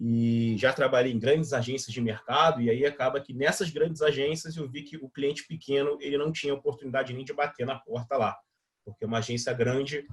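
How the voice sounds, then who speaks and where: Somewhat breathy and at a medium pitch, a man talks at a fairly quick pace with big swings in loudness. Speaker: digital marketing instructor. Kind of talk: live online workshop. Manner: fast; casual, filler-heavy.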